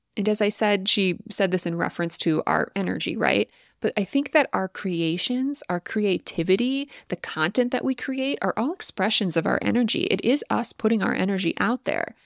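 With lively intonation and a medium pitch, a woman is heard in a very clean recording with a silent background and a dry, close sound with no echo. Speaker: podcast host and content creator. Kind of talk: solo podcast monologue, reflective and conversational. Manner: fast talker at times.

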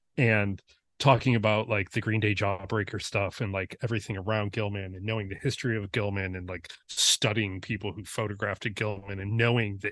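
A man with an American accent and an ordinary speaking voice, fairly low and fairly quick, over a quiet background. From US Midwest, Detroit suburbs. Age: 40s. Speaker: photographer. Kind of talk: casual chat.

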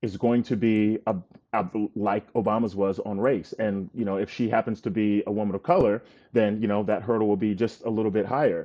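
The pace is moderate, and it is a normal speaking voice. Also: man. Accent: American. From North Carolina. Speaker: political writer. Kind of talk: casual chat.

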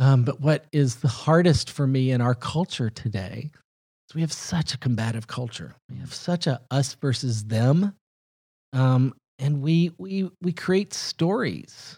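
In a Southern US accent, a man speaks at a fairly slow pace and medium pitch with a dark, mellow, somewhat breathy tone and lively intonation, in a dry, close, very clean recording with no echo and a silent background. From US South (Huntsville, Alabama). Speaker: film executive. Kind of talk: casual interview.

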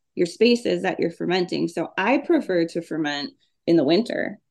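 A woman's voice in an Upper Midwest accent, with vocal fry, very wide pitch swings and a moderate pace. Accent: Upper Midwest (Minnesota). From Minnesota. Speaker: homesteading author. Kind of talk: casual interview.

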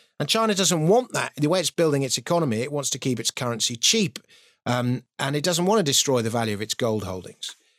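A man's fairly high voice at a very fast pace, with very wide pitch swings, dry and close with no echo, on a very clean recording with a silent background. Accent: British. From Britain. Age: 50s. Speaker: financial writer and comedian. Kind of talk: casual interview chat.

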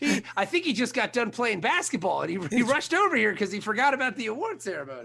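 Over noticeable background noise, a man with an extremely high pitch uses a raised, projected voice at a very fast pace, with hardly any pauses and very wide pitch swings. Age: 40s. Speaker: podcast host. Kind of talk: casual chat. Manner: animated.

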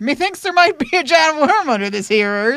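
Putting on a character voice, a woman speaks high in pitch at a moderate pace, her pitch swinging very widely. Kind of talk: archaic, stagey.

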